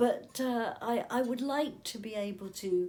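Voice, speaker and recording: A woman speaks with an English accent and lively intonation. Her voice is somewhat breathy. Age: 70s. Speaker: interviewee with motor neurone disease. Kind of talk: casual chat.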